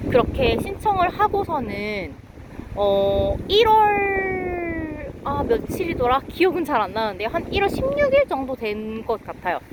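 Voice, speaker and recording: A high-pitched woman's voice, very slow, with very wide pitch swings over noticeable background noise. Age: 30s. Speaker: vlogger. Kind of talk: casual chat. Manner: spontaneous, unscripted.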